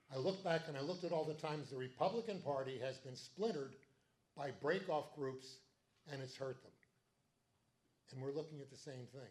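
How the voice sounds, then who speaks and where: A man with a fairly high, somewhat breathy voice talks at a fairly quick pace, with long, frequent pauses, big swings in loudness and ordinary pitch variation. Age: 70s. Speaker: political party meeting chair. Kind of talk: meeting speech. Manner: animated.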